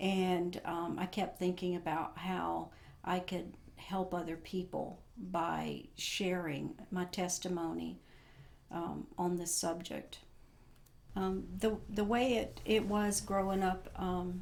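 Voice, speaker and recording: A woman speaks very slowly, and audible room echo surrounds her words. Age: 60s. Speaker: former Jehovah's Witness sharing her story. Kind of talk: testimony. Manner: halting, many fillers.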